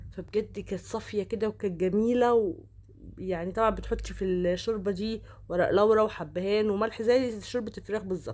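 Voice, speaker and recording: The speaker has an Egyptian accent and fairly even intonation. The pace is moderate. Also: woman, medium pitch for a woman. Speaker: cooking vlogger. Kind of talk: cooking tutorial. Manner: casual, chatty.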